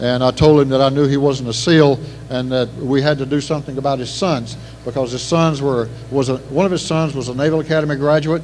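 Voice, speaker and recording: In an East Texas accent, a man with a fairly high voice talks at a fairly quick pace with fairly even intonation. There is audible room echo and noticeable background noise. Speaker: retired Navy SEAL officer, banquet speaker. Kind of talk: after-dinner speech. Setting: banquet hall PA system. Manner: fast; halting, many repetitions.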